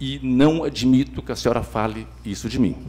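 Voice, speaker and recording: A man talks at a fairly slow pace, and audible room echo can be heard around him. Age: 60s. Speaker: city councillor, government leader. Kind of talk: council debate speech. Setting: council chamber session.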